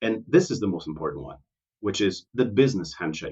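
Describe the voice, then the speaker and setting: A man talks at a fairly quick pace with vocal fry, his pitch swinging very widely. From Portugal. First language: Portuguese. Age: 40s. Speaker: port consultant. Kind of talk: podcast interview. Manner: enthusiastic.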